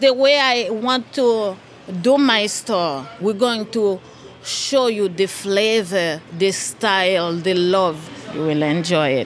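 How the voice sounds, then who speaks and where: Over noticeable background noise and audible room echo, a woman speaks very slowly with lively intonation. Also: medium pitch for a woman. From Haiti. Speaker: small business owner. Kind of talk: interview.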